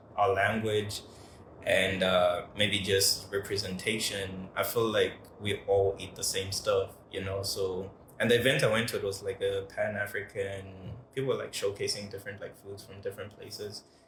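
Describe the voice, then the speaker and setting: The loudness swings widely over noticeable background noise. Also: man, moderate pace. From Malawi. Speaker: podcast host. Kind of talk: casual chat.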